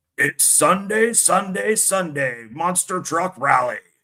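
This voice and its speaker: Using a put-on character voice, a man talks in a high pitch at a fairly slow pace. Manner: loud, hyped, advert-style.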